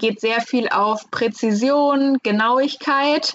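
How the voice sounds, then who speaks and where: Against noticeable background noise, a woman speaks very slowly at a high pitch with fairly even intonation. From Hesse, near Frankfurt. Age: 20s. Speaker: master painter and decorator. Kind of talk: interview. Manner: hesitant, many fillers.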